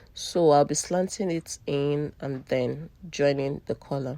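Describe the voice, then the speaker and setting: The speaker is a woman whose pitch sits very deep and low. Its variation is ordinary. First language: not English. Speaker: sewing tutor / fashion designer. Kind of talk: tutorial.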